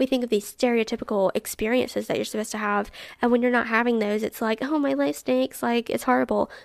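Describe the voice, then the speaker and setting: In a Southern US accent, a woman speaks at a very fast pace with an animated tone on a very clean recording with a silent background. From Alabama. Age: 20s. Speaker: podcast host. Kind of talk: casual chat.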